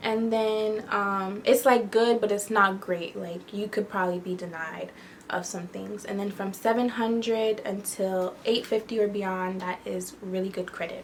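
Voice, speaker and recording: A woman's unremarkable speaking voice at medium pitch, with fairly even intonation, a fairly slow pace and hardly any pauses. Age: 20s. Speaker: lifestyle YouTuber. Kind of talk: casual tutorial vlog. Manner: conversational with fillers.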